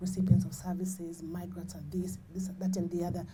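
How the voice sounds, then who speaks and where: Very fast, somewhat breathy speech with a dark, mellow tone, fairly even intonation and audible room echo. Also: woman. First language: not English. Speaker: HIV charity founder. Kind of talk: panel discussion.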